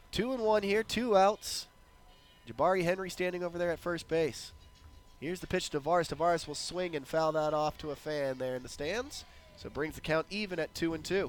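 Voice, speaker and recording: Music plays in the background as a man with a high pitch and ordinary pitch variation speaks at a fairly quick pace. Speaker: baseball play-by-play announcer. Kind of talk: live commentary.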